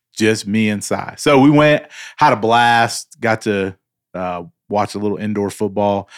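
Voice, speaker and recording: A man talks at a moderate pace with a fairly low pitch and ordinary pitch variation. The recording is very clean, with a silent background. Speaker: co-host. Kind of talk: casual chat. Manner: talkative, likes talking out loud.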